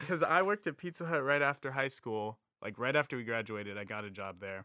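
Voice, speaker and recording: A man's fairly quick speech with hardly any pauses and very wide pitch swings, in a dry, close sound with no echo. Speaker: musician. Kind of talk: casual chat.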